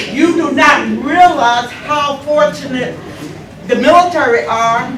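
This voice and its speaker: Noticeable background noise and audible room echo accompany a woman speaking at a high pitch. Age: 60s. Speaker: town hall attendee. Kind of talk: heated debate.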